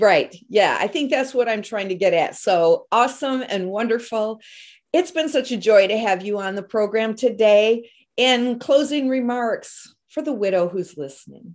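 Over a silent background in a very clean recording, a woman uses an unremarkable speaking voice, fairly high in pitch with lively intonation, at a moderate pace. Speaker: podcast host. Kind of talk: casual interview.

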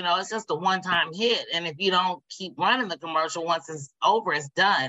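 Using a fairly quick pace and an American accent, a woman speaks at a fairly low pitch with ordinary pitch variation. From Indiana, US Midwest. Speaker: Facebook ads coach. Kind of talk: interview.

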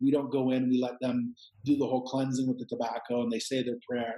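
A man's unremarkable speaking voice in a Canadian accent, medium in pitch with ordinary variation, at a fairly quick pace. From Canada. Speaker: psychedelic retreat center owner. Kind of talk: casual interview conversation.

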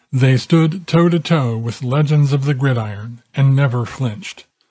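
This man's voice has a dark, mellow tone and is somewhat breathy. He speaks at a fairly slow pace. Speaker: documentary narrator. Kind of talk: sports history documentary narration, scripted. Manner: measured, formal storytelling; steady, authoritative delivery.

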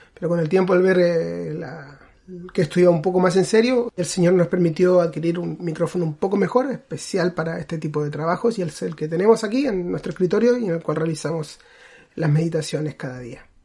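The talking moves at a fairly quick pace while noticeable background noise sits behind it. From Chile. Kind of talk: casual chat. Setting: home recording room.

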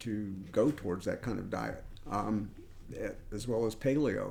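The speaker has an American accent and a dark, mellow tone. The pace is fairly slow. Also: man. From US South. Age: 60s. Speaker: enzyme company founder and scientist. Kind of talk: interview. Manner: halting, many repeated words.

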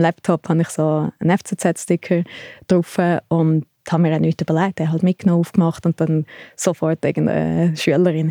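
Recorded very cleanly against a silent background, with a dry, close sound and no echo, a woman speaks at a moderate pace in a fairly low, dark, mellow voice with flat, monotone intonation. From Switzerland, Thalwil near Zurich. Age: 30s. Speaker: sports photographer and fan culture researcher. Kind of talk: interview conversation.

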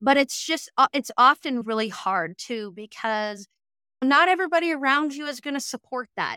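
Energetic and bright with a sharp tone, a woman speaks with an American accent at a moderate pace with lively intonation, heard dry and close with no echo. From Western Montana, US. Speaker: business and marketing coach. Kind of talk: interview.

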